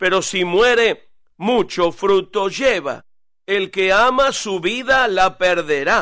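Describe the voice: Simple, plain reading aloud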